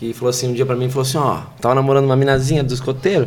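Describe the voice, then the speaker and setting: There is audible room echo and noticeable background noise. A man at medium pitch speaks at a very fast pace. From Brazil, São Paulo state (Pirituba, then Pinhalzinho). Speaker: comedian. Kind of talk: casual chat.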